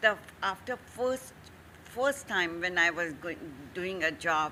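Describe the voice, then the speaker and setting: A woman speaks fairly slowly in a bright, sharp tone. Her intonation is lively. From India. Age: 70s. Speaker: entrepreneur. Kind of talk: interview.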